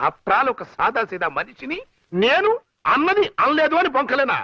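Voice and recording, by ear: Doing a put-on character voice, a man goes extremely high in pitch with big pitch swings and a bright, sharp tone. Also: moderate pace.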